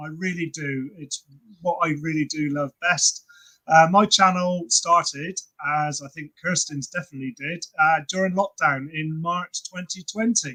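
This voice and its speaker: In a southern English accent, a man with a high pitch and a bright, sharp tone speaks at a fairly slow pace, with ordinary pitch variation, big swings in loudness, and a dry, close sound with no echo. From England, Cheltenham. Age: 60s. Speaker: personal trainer and fitness creator. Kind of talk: casual chat.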